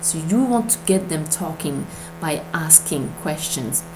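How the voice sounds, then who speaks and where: Through noticeable background noise and audible room echo, a woman with a non-native accent speaks fairly slowly at a fairly low pitch. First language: not English. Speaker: MLM recruiting coach. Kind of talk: tutorial. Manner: hesitant, many fillers.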